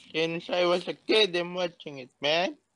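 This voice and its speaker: A man's put-on character voice, high-pitched and drawling, at a moderate pace with ordinary pitch variation. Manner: slow, stoner-like drawl.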